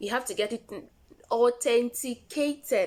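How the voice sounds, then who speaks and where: A woman speaks with a Nigerian accent. Her voice is fairly high-pitched, with ordinary pitch variation. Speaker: vlogger. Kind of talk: tutorial. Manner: casual, repetitive.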